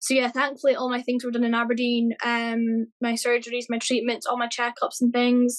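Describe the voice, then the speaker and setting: With a Scottish accent, a woman speaks at a high pitch. Her intonation is flat and monotone. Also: moderate pace. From Scotland. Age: 30s. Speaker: cancer survivor. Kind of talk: interview.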